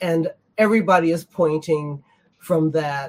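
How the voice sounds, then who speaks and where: With an American accent, a woman speaks in a very deep, low pitch that is somewhat breathy. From United States. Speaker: patron community member. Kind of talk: roundtable discussion. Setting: video call.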